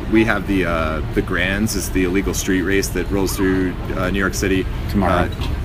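A man with an American accent and a very deep, low voice at a moderate pace, with audible room echo and noticeable background noise. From Southern California. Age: 30s. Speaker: BMX rider and street vendor. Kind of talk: casual interview.

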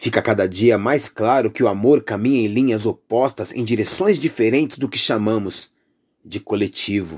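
A man with a Brazilian accent speaks at a moderate pace in an intense tone, his pitch medium with ordinary variation. The recording is very clean, the background silent. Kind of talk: spoken word poetry, political and accusatory. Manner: intense, indignant, declamatory with pointed emphasis.

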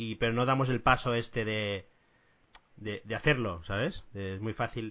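Speaking at a medium pitch, a man uses a normal speaking voice whose pitch varies in an ordinary way. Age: middle-aged. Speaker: podcast host. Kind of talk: casual interview.

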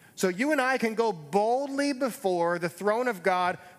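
At a fairly slow pace, a man with a high pitch speaks in an animated tone. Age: 40s. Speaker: pastor. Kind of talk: sermon.

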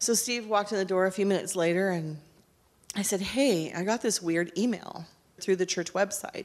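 A woman speaks at a medium pitch with an unremarkable speaking voice. Her pitch varies in an ordinary way. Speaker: pastor's wife. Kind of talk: testimony. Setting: church.

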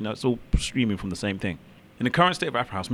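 A man's fairly low voice with a London accent. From London, England. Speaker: DJ and radio presenter. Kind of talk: interview. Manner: hesitant, many fillers.

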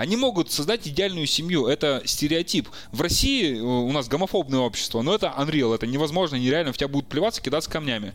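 A man speaks at a very fast pace and fairly high pitch, his intonation lively and his loudness very even. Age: 30s. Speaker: podcast co-host. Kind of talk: casual chat.

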